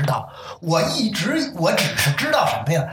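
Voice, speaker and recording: Room echo is audible around a man speaking at a high pitch. His voice swings very widely in pitch. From Beijing. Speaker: crosstalk enthusiast. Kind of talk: casual chat.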